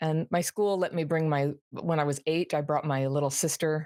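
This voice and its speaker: A very deep, low-pitched woman in an American accent, with fairly even intonation and a dry, close sound with no echo on a very clean recording with a silent background. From US West Coast (Berkeley, California). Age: 60s. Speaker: trauma recovery author and YouTuber. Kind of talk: interview conversation. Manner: conversational, with self-corrections.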